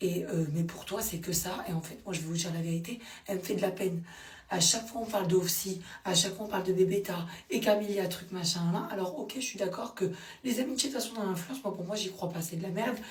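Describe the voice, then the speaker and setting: A woman talks at a very fast pace in an animated tone, her medium pitch showing ordinary pitch variation amid noticeable background noise and audible room echo. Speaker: social media commentator. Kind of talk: casual vlog commentary.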